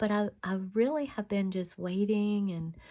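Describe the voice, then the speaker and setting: A woman's dark, mellow tone at a fairly slow pace. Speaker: craft video maker. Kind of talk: tutorial. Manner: halting.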